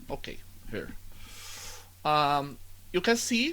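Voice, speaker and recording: Speaking with a Brazilian Portuguese accent, the voice moves at a very slow pace with very wide pitch swings. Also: man. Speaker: student. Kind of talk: tutorial. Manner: halting.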